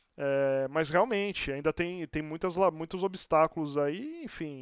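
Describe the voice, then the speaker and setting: Recorded very cleanly against a silent background, a man's voice has a dry, close sound with no echo. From Santos, Brazil. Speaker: podcast host. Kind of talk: casual interview chat.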